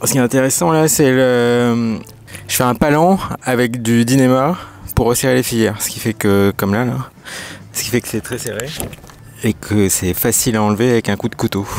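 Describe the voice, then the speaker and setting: With long, frequent pauses, a man speaks at a medium pitch against noticeable background noise. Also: ordinary pitch variation, moderate pace. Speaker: sailing vlogger. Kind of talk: casual vlog narration. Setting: on a sailboat.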